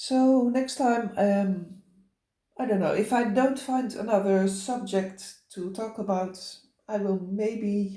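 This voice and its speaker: Audible room echo surrounds a woman with a Dutch accent and a dark, mellow tone, who speaks very slowly at a medium pitch in a fairly even intonation. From Netherlands. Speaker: cross-stitch vlogger. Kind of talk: casual chat. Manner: halting, many fillers.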